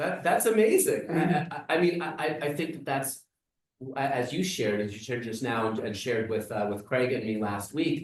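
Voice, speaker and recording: This is a man with a normal speaking voice and a fairly high pitch. He talks at a moderate pace with lively intonation. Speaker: rabbi. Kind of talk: interviewer questions.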